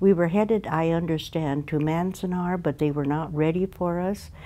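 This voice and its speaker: A woman with a very deep, low voice and a dark, mellow tone talks at a moderate pace with ordinary pitch variation. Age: 80s+. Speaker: internment camp survivor. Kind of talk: interview. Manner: halting with many fillers.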